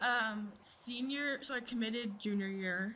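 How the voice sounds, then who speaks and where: In a room with audible echo, a woman talks at a fairly high pitch with fairly even intonation. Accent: slight Southern. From Virginia, US (Virginia Beach). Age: 20s. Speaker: mental health advocate, former college athlete. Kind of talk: casual interview.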